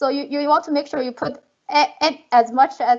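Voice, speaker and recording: This woman has a high-pitched voice and a non-native accent. She talks at a moderate pace. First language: not English. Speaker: professor, panelist. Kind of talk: panel discussion. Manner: halting, many fillers.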